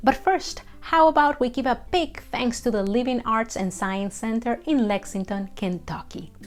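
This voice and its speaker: Her pitch is fairly high, with very wide pitch swings and hardly any pauses. The woman keeps a moderate pace, with music in the background. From Colombia. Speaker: storyteller. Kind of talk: educational talk to camera.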